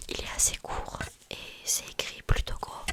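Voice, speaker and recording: A woman whispers at a fairly slow pace while noticeable background noise is present. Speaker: ASMR creator, student. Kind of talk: casual book review, talking about a novel. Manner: whispering, soft, chatty.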